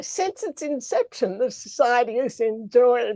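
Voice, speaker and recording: Recorded with a dry, close sound and no echo, a woman speaks at a fairly slow pace with an Australian accent. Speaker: president of a learned society. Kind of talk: formal speech. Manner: formal.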